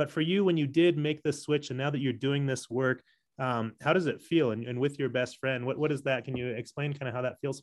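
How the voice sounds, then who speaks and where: Fairly quick speech from a man with an American accent, fairly high-pitched with fairly even intonation, in a normal speaking voice. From San Diego, California. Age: 40s. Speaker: podcast host. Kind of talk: interview conversation.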